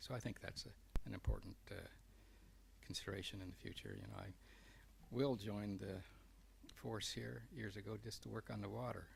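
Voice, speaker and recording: Soft-spoken, a man talks at a fairly quick pace. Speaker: council seat applicant. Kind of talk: interview. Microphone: too quiet.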